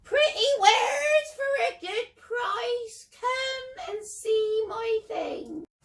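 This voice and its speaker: A female-sounding, squeaky put-on character voice at an extremely high pitch, very slow in pace with hardly any pauses. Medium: read story. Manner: wheedling, falsely sweet.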